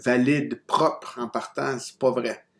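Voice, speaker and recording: Speech moves along fairly slowly. The intonation rises and falls only a little. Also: man. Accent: non-native. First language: not French (speaking French). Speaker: university lecturer. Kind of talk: recorded lecture. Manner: hesitant, many fillers and restarts.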